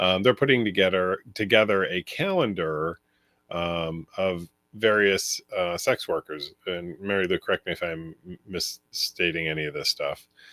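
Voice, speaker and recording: A man's very deep, low voice has a bright, sharp tone and ordinary pitch variation at a moderate pace. The sound is dry and close with no echo, on a very clean recording with a silent background. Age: 50s. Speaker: venue owner and livestream host. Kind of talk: casual chat. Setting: livestream. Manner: hesitant, many fillers.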